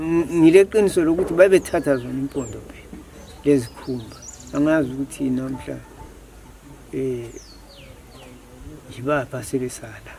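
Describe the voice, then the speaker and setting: A man's fairly high-pitched voice, fairly quick in pace, with ordinary pitch variation, big swings in loudness, and long, frequent pauses, over noticeable background noise. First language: Ndebele. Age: 80s+. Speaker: villager. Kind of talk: interview. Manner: halting.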